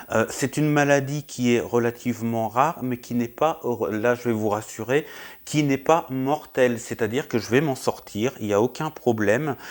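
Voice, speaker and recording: In a very clean recording with a silent background, a man at a medium pitch speaks at a moderate pace with fairly even intonation. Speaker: YouTuber vlogger. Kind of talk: personal health update vlog. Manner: loud; hesitant, many fillers. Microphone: new wireless mic.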